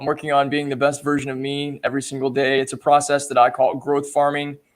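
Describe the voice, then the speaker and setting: Speaking with an American accent, a man uses a normal speaking voice at a fairly high pitch. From Texas. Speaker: personal development coach. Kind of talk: casual chat. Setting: live video stream.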